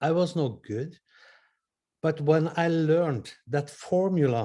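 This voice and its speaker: With a Norwegian accent, a man speaks at a very slow pace in a fairly high pitch, his somewhat breathy voice dark and mellow in tone, with lively intonation, on a very clean recording with a silent background. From Norway. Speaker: audience participant. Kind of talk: question from the audience.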